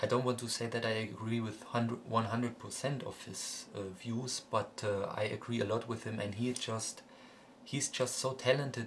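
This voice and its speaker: The delivery is at a moderate pace, in a monotone with flat intonation. The voice is somewhat breathy. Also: man. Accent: German. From Germany. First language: German. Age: 20s. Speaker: music collector vlogger. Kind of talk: casual vlog monologue. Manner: halting, many fillers and repetitions.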